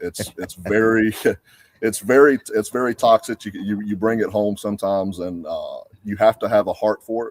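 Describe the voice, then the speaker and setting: Fairly low in pitch, a man speaks at a moderate pace with a Georgia accent. His intonation is fairly even, and the sound is dry and close with no echo. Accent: Southern (Georgia). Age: 40s. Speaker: cigar company sales executive, former police officer. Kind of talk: casual podcast interview. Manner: halting, many repeated words.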